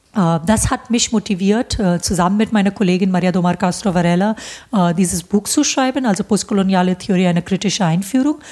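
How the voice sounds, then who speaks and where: Speaking fairly quickly with an Indian accent, a woman has a medium pitch and a dark, mellow, somewhat breathy tone held at very even loudness. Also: ordinary pitch variation. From India, Bombay. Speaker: professor. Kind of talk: interview. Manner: hesitant, many fillers.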